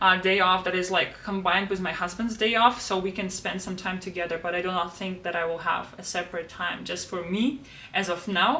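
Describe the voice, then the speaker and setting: A woman talks at a fairly quick pace in a Russian accent, her pitch medium. Background noise is noticeable throughout. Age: 20s. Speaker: planner YouTuber and language tutor. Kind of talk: casual planner flip-through vlog.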